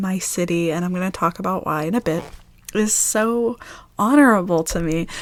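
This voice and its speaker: A woman with an American accent, medium pitch and ordinary pitch variation, at a moderate pace over noticeable background noise. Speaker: ASMR creator. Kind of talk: casual talk to camera.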